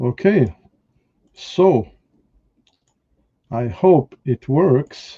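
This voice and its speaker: In a dry, close sound with no echo, a man speaks in a fairly high, somewhat breathy voice with a dark, mellow tone and very wide pitch swings. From France. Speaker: whisky reviewer and live stream host. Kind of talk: casual live stream talk.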